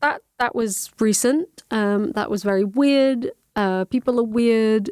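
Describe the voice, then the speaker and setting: Speech comes at a very slow pace with lively intonation. The sound is dry and close with no echo. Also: woman. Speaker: podcast host. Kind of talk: casual podcast talk.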